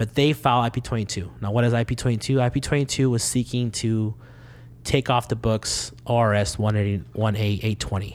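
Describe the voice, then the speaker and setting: An unremarkable speaking voice at a fairly quick pace, with fairly even intonation and very even loudness. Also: man, medium pitch for a man. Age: 20s. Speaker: immigrant rights organizer. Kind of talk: casual interview.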